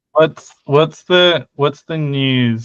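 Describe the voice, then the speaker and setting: A man with a British accent at a very slow pace. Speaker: linguistics discussion participant.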